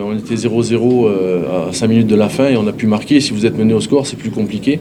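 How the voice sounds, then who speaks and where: Audible room echo and noticeable background noise accompany talking delivered at a fairly quick speed. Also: man. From Corsica. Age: 60s. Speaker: football coach. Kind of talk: press conference. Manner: halting, frequent hesitations.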